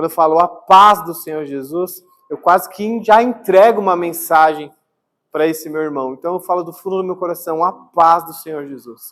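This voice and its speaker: A high-pitched man at a moderate pace, with big swings in loudness. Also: ordinary pitch variation. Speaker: pastor. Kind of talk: sermon. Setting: church. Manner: soft-spoken; calm, not energetic.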